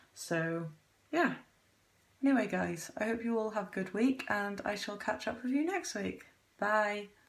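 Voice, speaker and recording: Speaking in a British accent, a woman with a fairly high pitch moves at a fairly slow pace with long, frequent pauses. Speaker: vlogger. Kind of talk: casual vlog. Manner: quiet, monotone.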